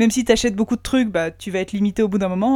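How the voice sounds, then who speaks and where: A woman speaks at a very fast pace in a medium pitch, her dark, mellow tone carrying fairly even intonation on a very clean recording with a silent background. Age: 30s. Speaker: doctor. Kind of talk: casual chat.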